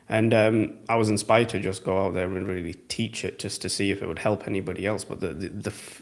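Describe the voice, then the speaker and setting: Speaking with an English accent, a man talks at a fairly quick pace in a fairly low pitch with fairly even intonation. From England. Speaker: trading educator. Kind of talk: live Q&A stream. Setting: live stream. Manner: casual.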